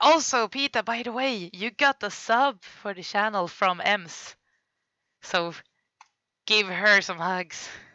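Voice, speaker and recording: A woman speaks in a Swedish accent at a fairly high pitch. Her pace is fairly slow, with ordinary pitch variation. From Sweden. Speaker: streamer. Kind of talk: casual livestream commentary. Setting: live stream.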